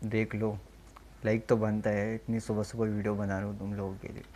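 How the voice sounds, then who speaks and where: A man's fairly low-pitched voice, dark and mellow in tone, with monotone, flat intonation. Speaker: YouTube reactor. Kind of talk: casual reaction commentary.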